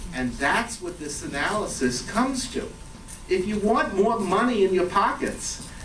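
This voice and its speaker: A man speaks at a high pitch. There is audible room echo and noticeable background noise. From New York. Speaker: economics professor. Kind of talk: lecture. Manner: casual, hesitant with fillers.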